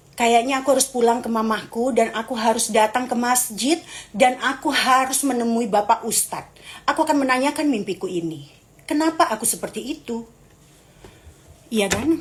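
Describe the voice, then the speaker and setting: A woman's high, animated voice at a moderate pace. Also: ordinary pitch variation. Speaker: live streamer. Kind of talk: casual live stream chat with viewers.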